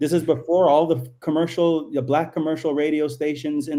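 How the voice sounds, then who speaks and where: Fairly high-pitched man's voice, dark and mellow in tone, moderate pace, very clean recording with a silent background. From Canada, Toronto. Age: 40s. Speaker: artist and cultural commentator. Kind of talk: casual chat. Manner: animated.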